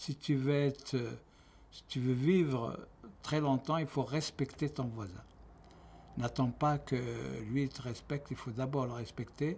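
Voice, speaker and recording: Somewhat breathy and medium in pitch, a man speaks at a very slow pace with fairly even intonation and long, frequent pauses. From Algeria. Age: 70s. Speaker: retiree giving testimony. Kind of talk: testimony. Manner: halting.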